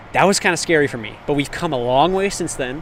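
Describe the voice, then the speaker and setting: There is noticeable background noise behind this man, whose voice sits fairly high in pitch. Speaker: livestreamer. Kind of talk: casual chat. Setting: outdoors. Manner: loud; animated.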